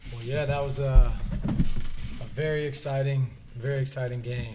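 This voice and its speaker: Over noticeable background noise, a man speaks at a medium pitch with fairly even intonation. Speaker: college basketball head coach. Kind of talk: post-game press conference. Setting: press conference. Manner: repetitive, filler-heavy, with frequent restarts. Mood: pleased after a win. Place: meeting room. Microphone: podium.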